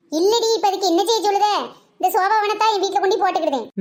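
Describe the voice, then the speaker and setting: A woman does a squeaky, cartoonish character voice at an extremely high pitch. She talks at a fairly quick pace with fairly even intonation and very even loudness. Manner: blunt, scolding.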